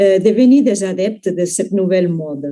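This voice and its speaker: Very slow speech from a woman with a non-native accent, a dark, mellow tone and lively intonation. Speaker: university researcher. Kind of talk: academic conference talk.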